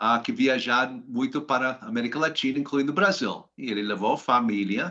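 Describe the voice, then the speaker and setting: A man with an American accent speaks at a moderate pace in a medium pitch, his bright, sharp tone carried by lively intonation against a quiet background. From US, Washington DC. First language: English (speaking Portuguese). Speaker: finance professional. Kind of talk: interview. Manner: halting, many hesitations.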